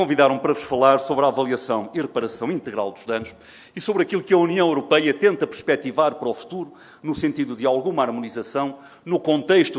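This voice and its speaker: A fairly quick pace with ordinary pitch variation. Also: man. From Portugal. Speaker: forensic medicine professor. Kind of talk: conference lecture. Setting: seminar stage with audience. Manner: formal.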